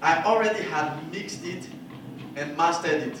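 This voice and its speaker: A man speaks at a fairly slow pace with a French accent and ordinary pitch variation. Noticeable background noise and audible room echo are present. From Ivory Coast. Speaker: jazz musician giving masterclass. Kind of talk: masterclass Q&A.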